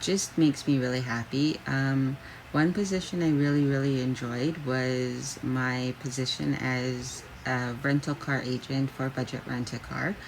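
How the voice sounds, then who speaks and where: Speaking with a Canadian accent and fairly even intonation, this voice comes through over noticeable background noise. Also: woman, very deep, low pitch for a woman. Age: 30s. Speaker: job seeker. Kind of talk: self-introduction video. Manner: halting, many fillers.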